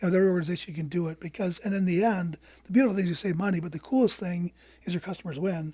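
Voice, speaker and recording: At a very fast pace, a man speaks high in pitch with a dark, mellow tone and ordinary pitch variation. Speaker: business consultant. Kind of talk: podcast interview. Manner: halting, many restarts.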